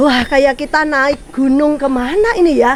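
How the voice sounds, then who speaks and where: A woman's high, animated voice at a moderate pace, with noticeable background noise. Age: 50s. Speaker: cooking and travel vlogger. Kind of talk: casual vlog chat. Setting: outdoors.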